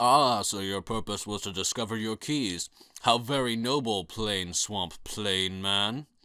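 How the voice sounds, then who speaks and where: A man puts on a booming character voice, fairly low in pitch and fairly slow. The recording is very clean, with a silent background. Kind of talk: comic overacting of a booming deity. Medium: read story. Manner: grandiose, commanding.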